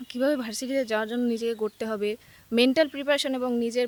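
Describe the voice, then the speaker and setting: Her voice sits high for a woman, and her intonation stays fairly even. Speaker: student, university admission candidate. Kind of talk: interview. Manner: halting.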